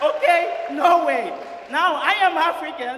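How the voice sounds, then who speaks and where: A man's raised, projected voice, extremely high in pitch, carries lively intonation. Noticeable background noise and audible room echo surround him. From Nigeria. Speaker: student comedian. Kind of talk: stand-up. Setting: stage with audience. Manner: animated.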